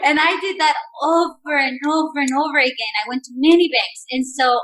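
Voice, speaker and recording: A woman speaks in a raised, projected voice with a Spanish accent. Her tone is bright and sharp, her intonation lively, and her pace fairly slow. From Mexico. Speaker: entrepreneur. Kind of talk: podcast interview answer.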